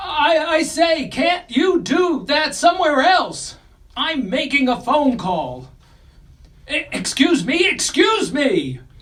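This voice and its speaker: Someone drags out words at a very slow pace in a high-pitched, put-on character voice. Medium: audio drama. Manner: stammering, indignant.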